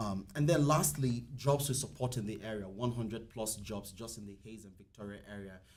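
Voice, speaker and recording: With a non-native accent, a man talks at a moderate pace amid audible room echo. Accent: foreign. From outside the US. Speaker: company representative. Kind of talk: public meeting remarks.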